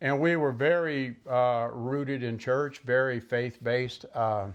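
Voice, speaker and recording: A man with a Southern US accent against a quiet background. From US South, Mississippi Gulf Coast. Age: 70s. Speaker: vlogger. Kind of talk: personal monologue. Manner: halting; unscripted.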